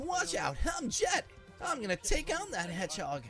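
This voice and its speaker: A man's put-on character voice, extremely high in pitch, at a moderate pace, with clear music in the background. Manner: cocky, boastful.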